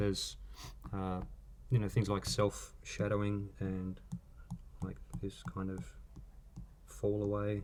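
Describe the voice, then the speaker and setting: In a strong Australian accent, a man with a fairly low pitch speaks at a fairly slow pace with fairly even intonation and long, frequent pauses. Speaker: artist. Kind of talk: live drawing stream commentary.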